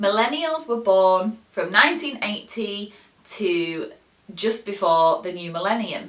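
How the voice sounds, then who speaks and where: A woman with a medium pitch talks at a fairly slow pace, with lively intonation and big swings in loudness, over noticeable background noise. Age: 30s. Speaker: English teacher. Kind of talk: educational talk to camera.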